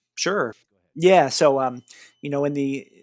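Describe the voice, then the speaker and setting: On a very clean recording with a silent background, a man with an American accent uses an unremarkable speaking voice at a medium pitch, a moderate pace and ordinary pitch variation. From Boston, Massachusetts. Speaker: army artillery officer. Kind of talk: interview conversation.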